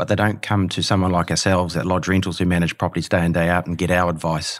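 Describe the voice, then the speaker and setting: Talking at a very fast pace with a New Zealand accent, a man uses a very deep, low pitch and monotone, flat intonation. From New Zealand, Hamilton. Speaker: property manager. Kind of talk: casual interview.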